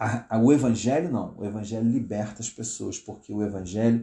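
His voice is medium in pitch with a dark, mellow tone. This man also sounds somewhat breathy. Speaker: pastor. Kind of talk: live-stream commentary. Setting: live stream from home. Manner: halting.

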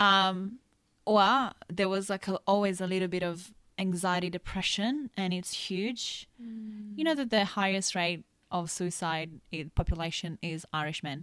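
Her voice sits at a medium pitch with ordinary variation. The woman is recorded very cleanly against a silent background. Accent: Italian. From Italy. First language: Italian. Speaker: nutritionist and kinesiologist. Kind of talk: casual chat.

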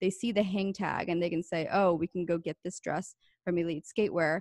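A woman talks in an ordinary speaking voice, fairly low-pitched, with fairly even intonation at a moderate pace. The sound is dry and close with no echo over a quiet background. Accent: American. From rural Pennsylvania. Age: 20s. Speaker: entrepreneur. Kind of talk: interview.

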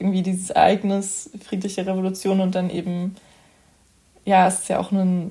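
At a moderate pace, a woman speaks with long, frequent pauses in a somewhat breathy, medium-pitched voice that has a dark, mellow tone. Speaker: podcast host, youth council member. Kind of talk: casual interview.

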